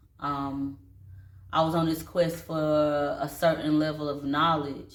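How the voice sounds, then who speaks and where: Very deep and low in pitch, a woman speaks at a very slow pace in a relaxed, monotone, flat way, with audible room echo around her. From North Carolina, Statesville. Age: 30s. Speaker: vlogger and dance studio owner. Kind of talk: casual personal vlog. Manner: casual, relaxed.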